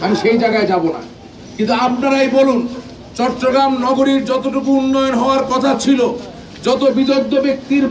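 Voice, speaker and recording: Fairly even intonation at very even loudness, with noticeable background noise. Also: man. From Bangladesh. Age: young. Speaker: political party activist; speaker. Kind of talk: campaign speech. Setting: outdoor street rally on a truck. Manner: oratorical, rhetorical. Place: street.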